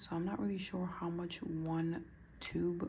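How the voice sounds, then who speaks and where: A woman whispers, with audible room echo around her voice. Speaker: nail art youtuber. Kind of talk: casual tutorial vlog. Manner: whispering; hesitant, filler-heavy.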